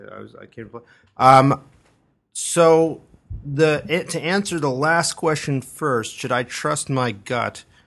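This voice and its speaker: A man with an ordinary speaking voice talks at a fairly slow pace and fairly high pitch, with ordinary pitch variation. His loudness swings widely over a quiet background. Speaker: entertainment journalist. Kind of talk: casual chat giving advice.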